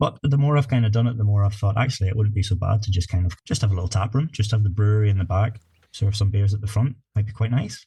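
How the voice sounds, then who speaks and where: Speaking very fast with hardly any pauses, a man with a Northern Irish accent uses a fairly low, dark, mellow, somewhat breathy voice and fairly even intonation. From Northern Ireland, north coast. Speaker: craft brewer. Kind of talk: podcast interview.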